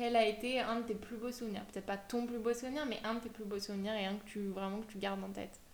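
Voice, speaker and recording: Amid noticeable background noise and audible room echo, a woman talks very fast in a fairly high, monotone, flat voice. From France, Savoie (Aix-les-Bains). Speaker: podcast host. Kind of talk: casual interview chat.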